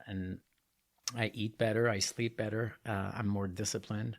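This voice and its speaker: A man with a Quebec accent at a moderate pace, fairly even intonation, and a very clean recording with a silent background. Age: 50s. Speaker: triathlete and artist. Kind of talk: casual interview. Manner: calmer, more composed than usual.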